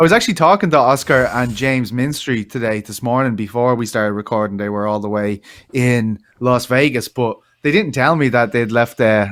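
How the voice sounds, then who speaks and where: In an Irish accent, a man talks at a fairly quick pace. His pitch varies in an ordinary way. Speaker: MMA podcast co-host. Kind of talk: casual chat.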